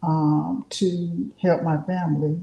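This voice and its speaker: Her voice is somewhat breathy, with a dark, mellow tone, a fairly low pitch and fairly even intonation. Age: 60s. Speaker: artist. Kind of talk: casual chat.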